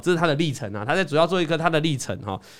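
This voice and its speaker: Fairly high-pitched male voice with vocal fry. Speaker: investing podcast host. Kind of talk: casual chat about stock trading. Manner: animated.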